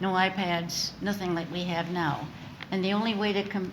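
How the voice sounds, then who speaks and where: Moderately paced, a woman talks at a medium pitch. Noticeable background noise and audible room echo are present. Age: 80s+. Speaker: literacy organization founder and author. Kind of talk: interview. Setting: studio with live audience.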